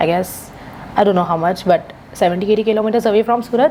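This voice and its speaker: Noticeable background noise sits behind a woman's voice. Her pitch is fairly high, with ordinary pitch variation. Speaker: English speaking tutor. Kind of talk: mock speaking test feedback. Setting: video call. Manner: soft-spoken.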